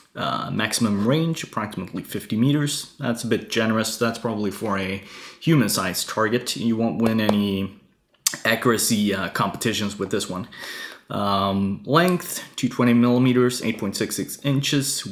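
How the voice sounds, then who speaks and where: A man's medium-pitched voice at a moderate pace, lively intonation, and noticeable background noise. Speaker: airsoft reviewer. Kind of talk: product review. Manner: halting, many fillers.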